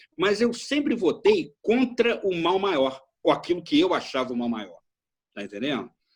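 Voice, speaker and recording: With a high pitch and very wide pitch swings, a man talks at a moderate pace. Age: 60s. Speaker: retired political science professor. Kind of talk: interview discussion. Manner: halting, many repetitions.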